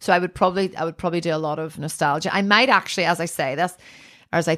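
A woman with a Northern Irish accent speaks at a fairly low pitch in a very clean recording with a silent background. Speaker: artist. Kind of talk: casual chat. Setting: her art studio.

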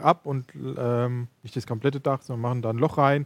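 A man with a plain, everyday voice, medium pitch and fairly even intonation, at a moderate pace, in dry, close sound with no echo. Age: 30s. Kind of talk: casual chat.

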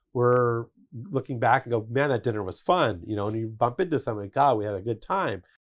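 In a very clean recording with a silent background, a medium-pitched man with an American accent uses an unremarkable speaking voice, ordinary pitch variation and a fairly quick pace. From Denver, Colorado, US. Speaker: architect. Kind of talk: interview. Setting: studio.

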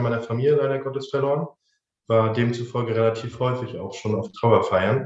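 A man speaks at a fairly quick pace and medium pitch, his voice somewhat breathy and his intonation fairly even. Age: 20s. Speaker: funeral director. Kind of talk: interview.

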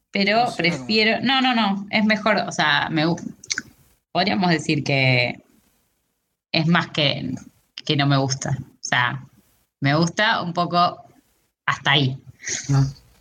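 In a Rioplatense accent, a woman speaks very slowly with long, frequent pauses. Her fairly low voice has a bright, sharp tone and very wide pitch swings. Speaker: podcast co-host. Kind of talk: casual chat.

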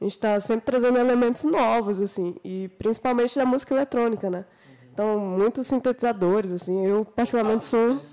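With an ordinary speaking voice, a woman talks at a fairly quick pace in a fairly high pitch with ordinary pitch variation. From Minas Gerais, Brazil. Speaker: singer and guitarist. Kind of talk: casual chat.

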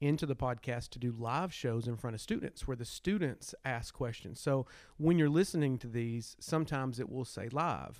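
Speaking with a Southern US accent at a moderate pace, a man keeps a medium pitch with ordinary pitch variation and hardly any pauses, on a very clean recording with a silent background. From Arkansas. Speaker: history teacher and podcast co-host. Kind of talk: casual chat.

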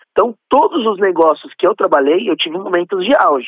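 This male voice is high-pitched. It swings very widely up and down. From São Paulo state, Brazil. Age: 30s. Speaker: event organizer. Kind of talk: interview.

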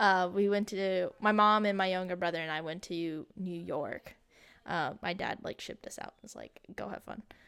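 Here a woman has an unremarkable speaking voice with an American accent, medium pitch and fairly even intonation. She talks at a moderate pace with big swings in loudness. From Texas. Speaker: podcast co-host. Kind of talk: casual chat.

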